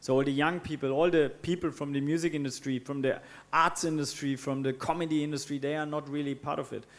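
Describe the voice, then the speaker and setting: A man with a German accent talks at a very fast pace in a fairly high pitch, with monotone, flat intonation. The recording is very clean with a silent background. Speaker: co-founder of water charity. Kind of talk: panel discussion. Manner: hesitant, many fillers.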